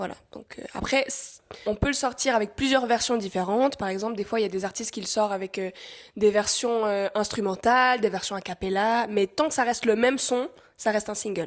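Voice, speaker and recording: On a very clean recording with a silent background, a woman with an ordinary speaking voice talks at a fairly quick pace, her fairly high pitch showing ordinary variation. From northern Thailand (Swiss-Thai). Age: 20s. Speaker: singer-songwriter. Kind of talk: casual interview chat.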